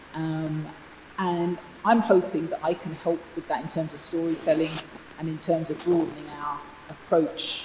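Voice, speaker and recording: At a moderate pace and with fairly even intonation, the speech comes through noticeable background noise and audible room echo. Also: woman, fairly low pitch for a woman. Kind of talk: panel discussion. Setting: stage with audience. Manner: loud.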